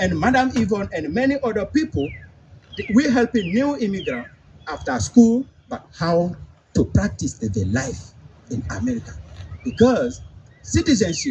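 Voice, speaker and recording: With a non-native accent, a man speaks with very wide pitch swings. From Africa. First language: not English, speaks about seven languages. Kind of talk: public speech. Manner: halting.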